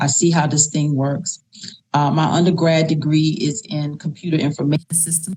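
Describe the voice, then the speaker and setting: A woman speaks with a very deep, low pitch. Her pace is moderate. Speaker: political candidate. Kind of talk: interview. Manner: loud; animated.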